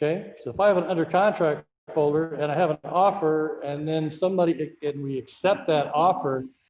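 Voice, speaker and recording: The man's pitch is fairly high, with ordinary variation, and his pace fairly quick. Room echo is audible. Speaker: real estate software trainer. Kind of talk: tutorial. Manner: fast. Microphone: webcam.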